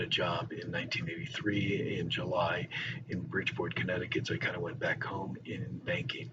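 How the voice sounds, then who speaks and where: A man with an American accent speaks at a moderate pace in a fairly low voice. Audible room echo and noticeable background noise are present. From northern Virginia, US. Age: 60s. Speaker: teacher. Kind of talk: personal introduction monologue. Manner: casual with filler words.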